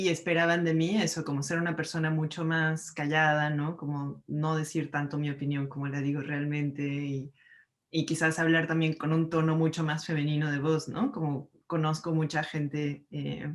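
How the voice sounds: This woman talks at a moderate pace in a low voice that shows little pitch movement.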